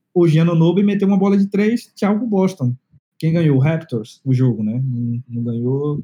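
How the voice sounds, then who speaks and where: Dark and mellow in tone, a man's fairly high voice moves at a moderate pace through very wide pitch swings. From Bahia, Brazil (Salvador metro area). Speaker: tech lead / designer. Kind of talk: casual chat. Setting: remote call.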